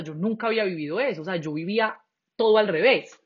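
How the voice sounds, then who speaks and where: A woman's lively intonation carries her fairly quick talking. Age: 20s. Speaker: actress. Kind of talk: casual chat. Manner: talkative.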